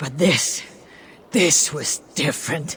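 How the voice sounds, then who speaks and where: This put-on character voice is raspy and sits at a middle pitch. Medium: video game. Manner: solemn, measured.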